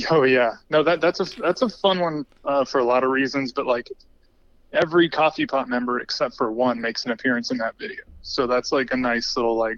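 Delivered at a fairly quick pace, a plain, everyday voice shows ordinary pitch variation with a dry, close sound with no echo. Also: man, fairly high pitch for a man. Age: 30s. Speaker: filmmaker. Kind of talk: casual interview.

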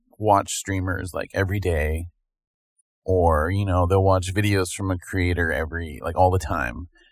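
A man's very deep, low voice, somewhat breathy, at a moderate pace. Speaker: podcast co-host. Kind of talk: casual chat.

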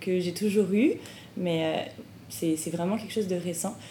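Audible room echo surrounds a woman whose voice sits fairly low in pitch. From France. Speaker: graduate student and podcast host. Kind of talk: casual interview.

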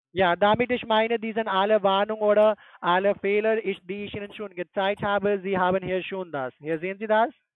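The speaker has a non-native accent. The pace is fairly quick. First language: not German (speaking German). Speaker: scam call-center agent. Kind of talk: phone sales pitch. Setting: phone call.

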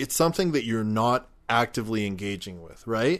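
A man at a moderate pace, lively intonation, quiet background. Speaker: podcast co-host. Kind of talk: casual chat. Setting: outdoors at a picnic table. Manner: varies between quiet and loud.

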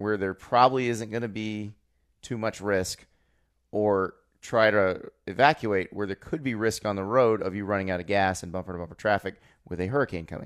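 An ordinary speaking voice from a man with an American accent, fairly low in pitch, with ordinary pitch variation and a moderate pace, on a very clean recording with a silent background. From Florida. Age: 30s. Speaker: college football writer and podcast co-host. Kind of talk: casual chat.

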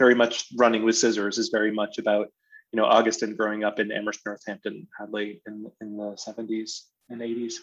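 A man talks at a fairly quick pace in a flat monotone, with big swings in loudness. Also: medium pitch for a man. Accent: American. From western Massachusetts. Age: 40s. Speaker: theater artistic director. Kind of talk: interview conversation. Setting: video call. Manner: halting with many fillers.

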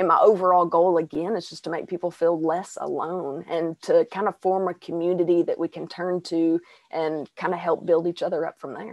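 A woman speaks at a moderate pace and fairly low pitch with hardly any pauses, her intonation monotone and flat while her loudness swings widely. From Arkansas, US South. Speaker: singer and mental health podcaster. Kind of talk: casual interview.

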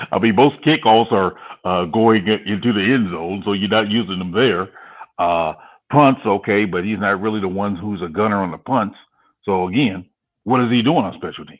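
This man has an unremarkable speaking voice, fairly low in pitch with ordinary pitch variation. He speaks at a moderate pace, and his loudness swings widely. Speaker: football fan guest. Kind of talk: casual chat.

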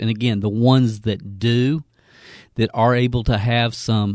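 There is music in the background as a man with a Southern US accent talks at a moderate pace. The sound is dry and close, with no echo. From Kentucky, US South. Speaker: network marketing trainer. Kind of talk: educational podcast intro, sales-style pitch.

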